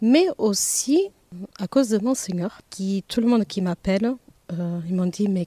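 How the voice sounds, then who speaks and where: Recorded with a dry, close sound and no echo, a woman of medium pitch speaks fairly slowly in a dark, mellow tone with ordinary pitch variation. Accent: slight Portuguese. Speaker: receptionist. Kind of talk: interview. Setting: outdoors.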